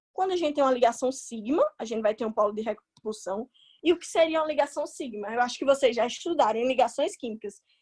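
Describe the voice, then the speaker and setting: A woman's very fast, high-pitched voice with lively intonation, dry and close with no echo. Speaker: chemistry tutor. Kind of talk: online class lecture. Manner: casual.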